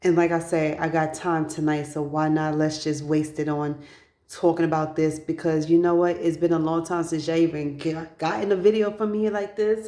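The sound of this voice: Her tone dark and mellow, a woman speaks at a low pitch with fairly even intonation. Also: moderate pace.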